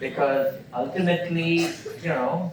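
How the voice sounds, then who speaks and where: A man with a fairly high pitch speaks fairly slowly, with audible room echo and noticeable background noise around him. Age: 70s. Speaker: entrepreneur and entrepreneurship teacher. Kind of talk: lecture Q&A. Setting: university auditorium with audience.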